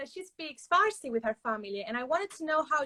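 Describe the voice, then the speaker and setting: The voice has a bright, sharp tone and a Spanish accent. Pitch moves in an ordinary way, and the sound is dry and close with no echo. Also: woman. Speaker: book youtuber. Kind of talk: interview.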